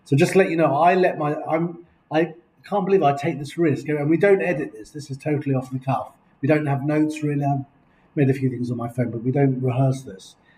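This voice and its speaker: With an English accent, a man at a fairly high pitch speaks in a dark, mellow, somewhat breathy tone, using ordinary pitch variation and big swings in loudness. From England. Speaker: video blogger. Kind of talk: casual chat. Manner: animated. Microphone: laptop recording.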